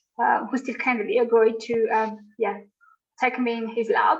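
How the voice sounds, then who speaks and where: With a Malagasy accent, a woman talks at a moderate pace in a fairly high voice with fairly even intonation. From Madagascar. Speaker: conservation researcher. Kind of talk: interview. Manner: hesitant, many fillers.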